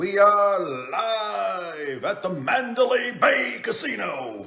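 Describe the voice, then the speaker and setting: A man's put-on character voice, high-pitched, raised and projected, at a very slow pace. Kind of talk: showman announcer. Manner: hyped, bombastic announcer delivery.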